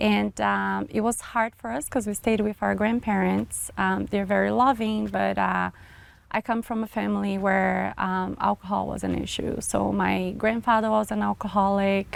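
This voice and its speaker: This woman talks at a moderate pace. She has a Brazilian accent. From small town in Brazil. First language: Portuguese. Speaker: marketing businesswoman. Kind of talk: interview, personal testimony. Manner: hesitant, many fillers.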